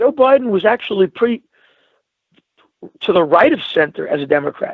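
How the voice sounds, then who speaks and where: At a moderate pace, a man talks with a Brooklyn accent. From New York, Brooklyn. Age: 60s. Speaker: talk show guest. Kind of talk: casual chat. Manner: animated.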